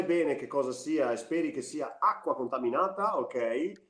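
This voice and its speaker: A man with a fairly high pitch speaks in an animated tone with lively intonation. His pace is fairly slow. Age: 30s. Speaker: actor. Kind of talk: casual chat.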